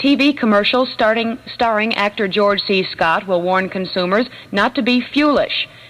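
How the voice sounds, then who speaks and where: At a moderate pace, a woman talks at a medium pitch with ordinary pitch variation in an ordinary speaking voice. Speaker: radio newscaster. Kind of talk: radio news reading. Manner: brisk, professional.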